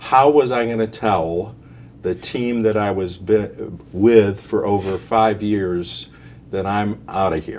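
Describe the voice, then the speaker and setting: A man's fairly low voice moves at a very slow pace, its pitch varying in an ordinary way. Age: 60s. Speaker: retiree, financial planning client. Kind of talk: interview.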